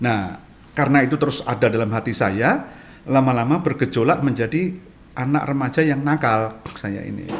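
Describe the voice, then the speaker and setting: A man speaks at a moderate pace in a medium-pitched voice with ordinary pitch variation. Background noise is noticeable. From Central Java, Indonesia (Jepara). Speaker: pastor. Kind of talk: testimony.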